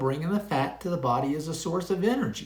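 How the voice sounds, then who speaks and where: Amid audible room echo, a man speaks in a high pitch with lively intonation. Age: 70s. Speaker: retired pharmacist, health vlogger. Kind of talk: casual monologue to camera. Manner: conversational, with frequent fillers.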